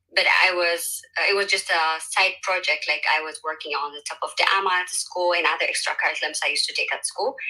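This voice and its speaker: A woman rushes along very fast, hardly pausing at all, amid noticeable background noise. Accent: Ethiopian. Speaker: social entrepreneur, panelist. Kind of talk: panel discussion.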